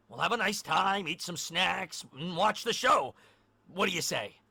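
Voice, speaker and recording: A man puts on a character voice, delivering it at a moderate pace. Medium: audio drama.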